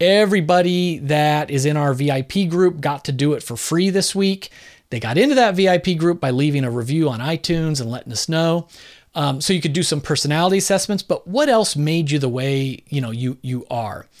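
The recording is very clean, with a silent background, and this man has a normal speaking voice. His pitch is fairly high with ordinary variation, and his pace is moderate. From Southern California and northern New Jersey. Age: 50s. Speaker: podcast host and author. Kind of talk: solo podcast answering listener mail. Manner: casual, conversational.

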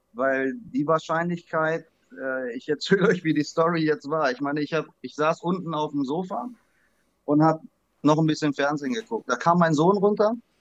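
In a plain, everyday voice, a man speaks at a moderate pace with fairly high pitch and ordinary pitch variation. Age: 40s. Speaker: trading card collector. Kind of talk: interview.

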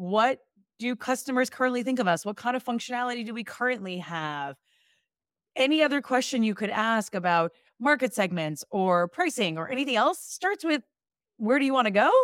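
An upbeat, fairly quick delivery with an American accent, very wide pitch swings and a dry, close sound with no echo. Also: woman, fairly high pitch for a woman. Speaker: product leader coach. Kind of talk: casual interview conversation. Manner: upbeat, laughs often.

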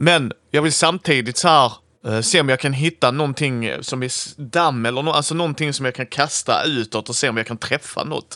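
With few pauses, a man speaks at a medium pitch in a bright, sharp tone with ordinary pitch variation, on a very clean recording with a silent background.

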